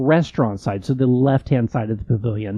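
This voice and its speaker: A man with an American accent talks at a moderate pace, his pitch varying in an ordinary way. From California. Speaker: podcast co-host. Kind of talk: casual chat.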